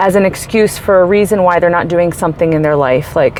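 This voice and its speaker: Noticeable background noise under a woman's animated tone, with ordinary pitch variation. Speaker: life coach and vlogger. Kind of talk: casual vlog monologue. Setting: in a store while shopping. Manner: loud.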